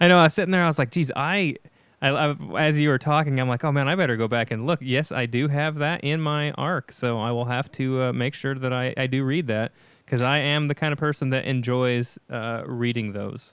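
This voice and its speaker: An ordinary speaking voice, fairly brisk, with normal rises and falls in pitch. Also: man, medium pitch for a man. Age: 30s. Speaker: podcast host. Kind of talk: interview.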